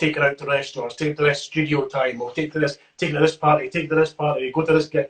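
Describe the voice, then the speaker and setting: Talking at a very fast pace with hardly any pauses, a man speaks in a Scottish accent. His voice is fairly high, somewhat breathy and monotone, with flat intonation. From Scotland. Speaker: rapper. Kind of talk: interview answer. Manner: casual, chatty.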